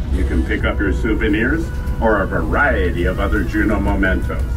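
Clear background music behind a man at a moderate pace. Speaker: tram tour narrator. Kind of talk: tour guide commentary.

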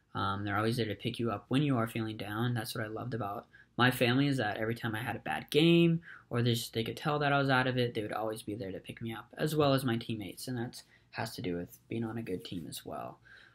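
With ordinary pitch variation, a man rushes along at a very fast pace over a quiet background. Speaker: college student. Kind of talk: recorded class presentation. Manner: hesitant, many filler words. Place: home room. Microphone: webcam.

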